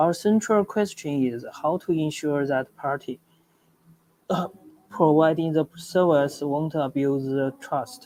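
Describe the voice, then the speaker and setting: Speaking very slowly with a Chinese accent, a man uses a fairly high pitch and ordinary pitch variation. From China. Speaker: startup founder. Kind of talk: project pitch presentation. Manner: halting, with stutters and restarts.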